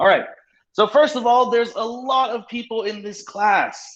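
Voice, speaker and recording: Loud and at a fairly slow pace, a man talks with an American accent. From US West Coast, San Francisco. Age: 30s. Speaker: English teacher. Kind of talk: online class lecture. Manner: speeds up when excited.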